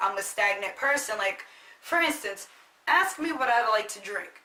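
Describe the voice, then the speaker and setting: Background noise is noticeable throughout. Over it, a woman talks at a moderate pace. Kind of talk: casual talk to camera.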